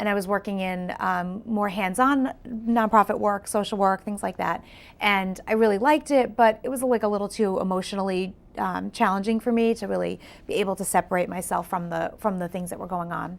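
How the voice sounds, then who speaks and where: In a very clean recording with a silent background, a woman with an American accent speaks fairly quickly at a medium pitch with ordinary pitch variation. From Long Island, New York. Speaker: event design business owner and artist. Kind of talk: talk show interview. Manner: casual with many fillers.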